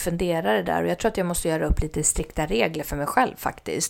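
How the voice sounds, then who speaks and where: Her voice carries vocal fry. The woman's pitch is fairly low. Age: 40s. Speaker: podcast host. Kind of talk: solo casual talk.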